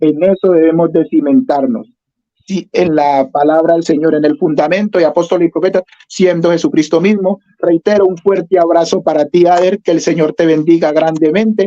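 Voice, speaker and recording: Speaking at a moderate pace with fairly even intonation and very even loudness, a man with a high pitch and a dark, mellow tone comes through in a dry, close sound with no echo. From Colombia. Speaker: pentecostal preacher. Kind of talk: religious interview.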